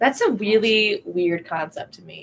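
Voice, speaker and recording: A woman's fairly high voice with an American accent and lively intonation, an ordinary speaking voice. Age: 20s. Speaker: parish ministry staff. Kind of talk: casual chat.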